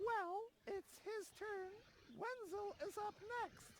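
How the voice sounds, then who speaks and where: A squeaky, put-on character voice at a very slow pace. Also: woman, extremely high pitch for a woman. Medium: video game. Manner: snippy, officious.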